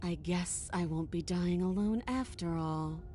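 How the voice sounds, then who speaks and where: A woman puts on a character voice at a fairly low pitch. Clear background noise is present. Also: fairly slow pace. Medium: video game. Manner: calm, self-assured, wry.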